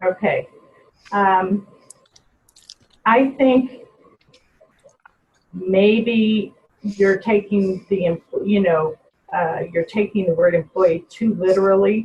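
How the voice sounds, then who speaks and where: A woman's very slow, medium-pitched speech, with fairly even intonation, very even loudness, and long, frequent pauses. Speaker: personnel trainer. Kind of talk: webinar presentation with Q&A.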